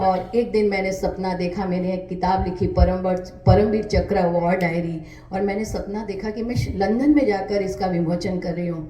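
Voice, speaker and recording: A woman at a medium pitch speaks with fairly even intonation amid audible room echo and noticeable background noise. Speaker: author and poet. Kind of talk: interview.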